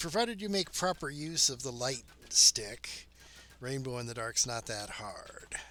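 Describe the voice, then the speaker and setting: A man with a plain, everyday voice talks fairly slowly at medium pitch, his loudness swinging widely. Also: lively intonation. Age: 50s. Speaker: game streamer. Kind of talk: casual chat.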